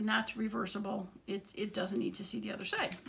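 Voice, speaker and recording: A woman's voice carries vocal fry and lively intonation. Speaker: craft tutorial creator. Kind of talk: tutorial. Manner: casual, hesitant with many fillers.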